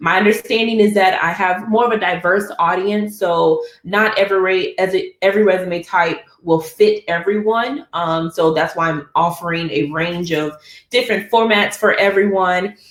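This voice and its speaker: This woman's voice sits at a medium pitch and moves at a moderate pace. Her pitch variation is ordinary, and it is a normal speaking voice. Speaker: architect and webinar presenter. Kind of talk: webinar presentation. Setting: online webinar.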